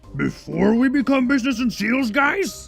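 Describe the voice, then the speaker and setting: With clear music playing behind him, a man in a put-on character voice speaks at a moderate pace with an extremely high pitch. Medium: read story. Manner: broken grammar, simple.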